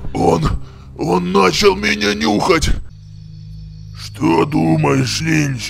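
A man puts on a character voice with a very deep, low pitch and very wide pitch swings, going at a very slow pace with long, frequent pauses over clear music in the background. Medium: machinima.

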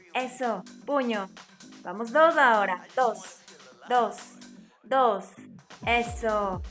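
Over faint background music, a woman talks at a very slow pace with long, frequent pauses and ordinary pitch variation. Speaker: fitness instructor. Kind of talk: workout coaching cues.

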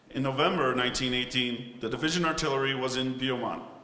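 A man's fairly even intonation with audible room echo. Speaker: ceremony narrator. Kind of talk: formal ceremonial narration. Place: hall.

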